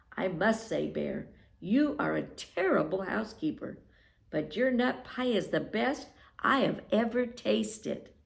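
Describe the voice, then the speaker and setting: Using a put-on character voice, a woman with fairly high pitch speaks at a fairly slow pace. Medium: read story. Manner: prim, fussy.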